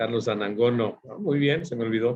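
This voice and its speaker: This voice is somewhat breathy. It moves at a moderate pace. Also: man. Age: 50s. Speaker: forecasting consultant and instructor. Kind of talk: online workshop lecture. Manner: halting, many fillers.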